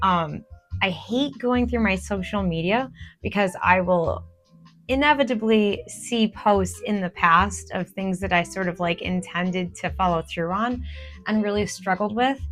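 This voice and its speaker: A woman's fairly slow speech with music in the background. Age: 40s. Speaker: artist. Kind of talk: casual talk to camera.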